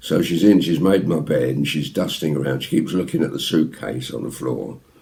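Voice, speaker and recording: Noticeable background noise sits under a man talking at a fairly quick pace in a very deep, low pitch. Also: ordinary pitch variation. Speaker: ventriloquist. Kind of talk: anecdote told to camera. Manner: casual, chatty.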